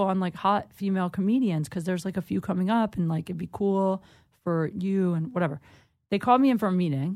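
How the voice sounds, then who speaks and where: In a very clean recording with a silent background, a woman with an unremarkable speaking voice and an American accent talks at a medium pitch with ordinary pitch variation. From Ohio, US Midwest. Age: 30s. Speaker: comedian. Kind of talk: casual chat. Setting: studio.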